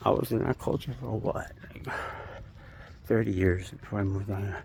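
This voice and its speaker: With an American accent, a man talks at a fairly quick pace and a fairly low pitch. His intonation is lively, and there is noticeable background noise. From New York City, Queens. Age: 50s. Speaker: vlogger. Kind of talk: casual monologue vlog. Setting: outdoors, walking by a busy street at night. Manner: rambling, filler-heavy.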